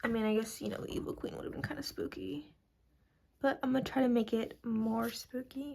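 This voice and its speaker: A woman whispering at a fairly quick pace. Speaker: art YouTuber. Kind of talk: casual draw-along chat. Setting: at home, late at night. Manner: alternates normal voice and whispering; casual, filler-heavy.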